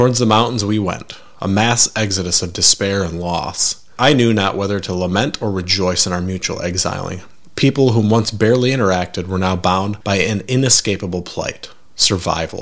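This man has an unremarkable speaking voice, fairly low in pitch with ordinary variation. He speaks at a moderate pace. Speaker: horror podcast narrator. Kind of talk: lovecraftian horror narration: scripted first-person tale of dread; scripted narration with dramatic character voice. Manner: theatrical, gravely intoned, heightening to mournful climax.

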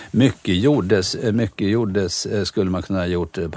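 At a fairly quick pace, a man speaks in a very deep, low voice with ordinary pitch variation. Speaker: chef and restaurateur. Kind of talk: interview.

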